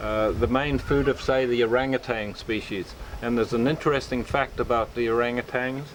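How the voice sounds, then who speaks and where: There is noticeable background noise behind a man's voice. He speaks at a moderate pace in a medium pitch. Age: 60s. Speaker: fruitarian health practitioner. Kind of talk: casual interview. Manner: hesitant, many fillers.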